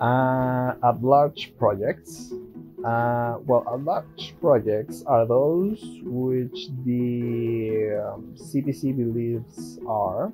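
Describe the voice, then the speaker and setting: Very slow, lively speech from a man at medium pitch with a non-native accent, music in the background. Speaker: software developer, coding YouTuber. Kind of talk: casual tech talk to camera.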